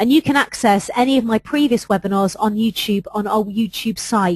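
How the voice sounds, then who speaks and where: In a dry, close recording with no echo, a woman with an English accent speaks at a fairly high pitch, somewhat breathy, her intonation fairly even. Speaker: HR adviser presenting webinars. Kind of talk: webinar presentation. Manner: fast.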